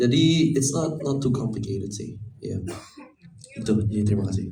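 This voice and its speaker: Lively intonation marks this man's medium-pitched voice, which carries a non-native accent. He speaks at a moderate pace, and audible room echo is present. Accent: non-native accent in Indonesian. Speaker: film actor. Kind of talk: press conference.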